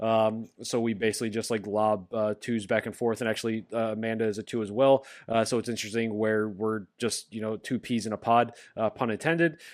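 The very clean recording, with a silent background, captures a man with an ordinary speaking voice. His pitch is medium, his intonation fairly even and his pace fairly quick. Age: 30s. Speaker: podcast host. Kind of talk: casual chat.

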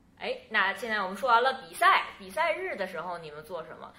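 With noticeable background noise and audible room echo, a woman talks in a fairly high pitch that makes very wide swings. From northeast China, Changchun. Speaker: podcast host. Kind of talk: casual interview chat.

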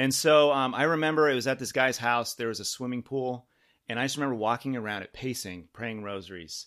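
A man with an ordinary speaking voice talks at a medium pitch and a fairly quick pace, with ordinary pitch variation. The recording is very clean, with a silent background. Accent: American. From Southern California, San Diego. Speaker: parishioner, husband and father. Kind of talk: testimony.

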